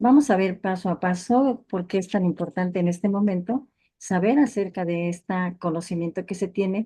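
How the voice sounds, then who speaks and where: A somewhat breathy woman with a Mexican accent speaks at a moderate pace and medium pitch, with a dark, mellow tone, ordinary pitch variation and a quiet background. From Mexico. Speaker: family physician, lecturer. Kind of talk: lecture. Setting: video call webinar.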